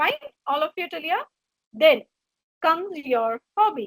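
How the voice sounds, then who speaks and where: With a Gujarati accent, a woman speaks at a high pitch with very wide pitch swings, the sound dry and close with no echo. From India (Gujarati background). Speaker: HR trainer / career coach. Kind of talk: webinar lecture.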